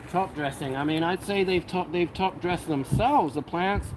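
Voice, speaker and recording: A high-pitched man with an American accent and ordinary pitch variation, noticeable background noise behind him. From United Kingdom. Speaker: cannabis grow livestream host. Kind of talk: casual livestream chat. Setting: live stream. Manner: animated.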